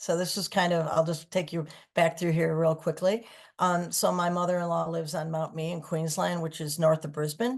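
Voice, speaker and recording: Against a quiet background, a woman with an American accent speaks at a moderate pace in a plain, everyday voice, fairly low in pitch with fairly even intonation. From Michigan, US. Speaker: singer-songwriter. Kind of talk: interview.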